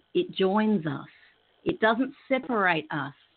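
With an Australian accent, a woman talks at a fairly slow pace, her fairly high voice swinging very widely in pitch. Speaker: professional clown and peace educator. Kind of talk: interview on spiritual radio show. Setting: remote computer link from Australia.

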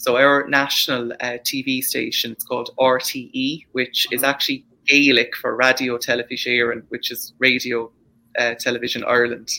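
The voice has a bright, sharp tone and an Irish accent. It moves at a moderate pace with monotone, flat intonation. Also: man, medium pitch for a man. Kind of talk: casual chat. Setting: video call.

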